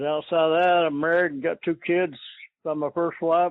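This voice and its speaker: Speaking at a moderate pace, a man talks with an Appalachian accent. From eastern Kentucky. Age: 70s. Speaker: coon hunter, retired factory worker. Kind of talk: interview. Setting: phone call. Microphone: poor phone audio.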